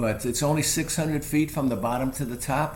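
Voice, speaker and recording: Male voice with audible room echo. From New York. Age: 70s. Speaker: hiking guide and photographer. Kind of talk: interview. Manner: halting, many fillers.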